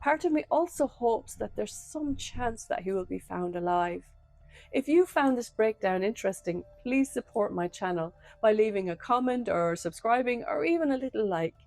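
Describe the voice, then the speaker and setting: Over background music, a woman with a fairly high voice swings very widely in pitch, the sound dry and close with no echo. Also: moderate pace. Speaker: true crime channel host and crime novelist. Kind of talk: true crime breakdown.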